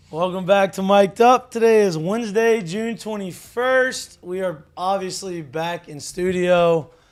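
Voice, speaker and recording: Speaking fairly slowly with hardly any pauses, a man uses a high voice with ordinary pitch variation and big swings in loudness. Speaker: podcast host and former baseball player. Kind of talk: casual chat. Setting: studio.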